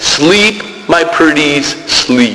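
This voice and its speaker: A man uses a put-on character voice, high in pitch, with clear background noise behind him. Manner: hissing; sing-song, luring.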